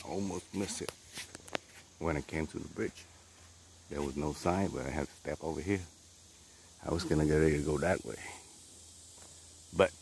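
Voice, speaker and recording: This man talks at a fairly quick pace with a very deep, low pitch, over light background noise in a dry sound with no echo. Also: ordinary pitch variation. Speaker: hiker vlogger. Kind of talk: casual vlog chat. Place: forest. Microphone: phone near.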